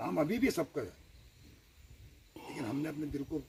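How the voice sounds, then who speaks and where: A man talks at a moderate pace while noticeable background noise is audible. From Uttarakhand, India (Dehradun). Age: 60s. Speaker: retired army man speaking at political meeting. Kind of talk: public speech at village meeting.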